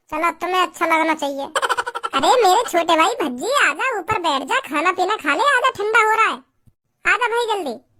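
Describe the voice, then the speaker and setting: A woman's cartoonish character voice, extremely high and swinging very widely in pitch. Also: moderate pace. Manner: preachy, repetitive.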